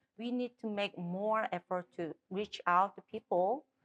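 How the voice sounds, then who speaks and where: A woman speaks in a Korean accent with ordinary pitch variation. The sound is dry and close, with no echo. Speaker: political candidate. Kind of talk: interview. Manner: halting.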